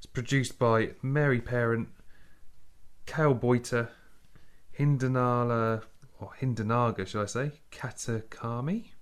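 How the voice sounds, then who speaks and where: Someone with a southern English accent speaks at a fairly slow pace with long, frequent pauses, fairly even intonation and big swings in loudness. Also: man, medium pitch for a man. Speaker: podcast co-host. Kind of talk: casual chat.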